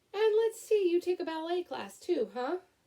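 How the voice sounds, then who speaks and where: A woman's squeaky, put-on character voice, extremely high in pitch, at a moderate pace. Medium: read story. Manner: calm, measured.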